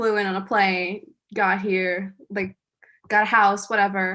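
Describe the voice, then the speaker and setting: A woman with a bright, sharp tone and medium pitch speaks fairly slowly in a flat monotone. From Brazil. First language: Portuguese. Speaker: student actor. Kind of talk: panel talkback.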